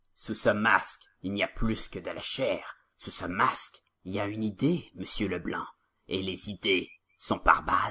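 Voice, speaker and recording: Gravelly and fairly low in pitch, a man speaks in a put-on character voice. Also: moderate pace, big swings in loudness. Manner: dramatic, menacing.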